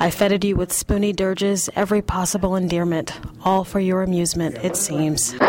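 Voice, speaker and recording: Over noticeable background noise, a woman talks at a fairly quick pace in a medium pitch, with fairly even intonation and a deadpan, playful tone. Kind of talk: poetry reading, performed spoken word. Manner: deadpan, playful, rapid-fire absurd imagery.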